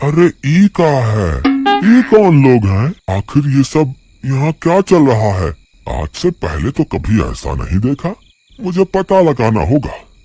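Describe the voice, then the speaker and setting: Using a cartoonish character voice at medium pitch, a man talks at a fairly slow pace in a dry, close sound with no echo. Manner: rustic, excitable.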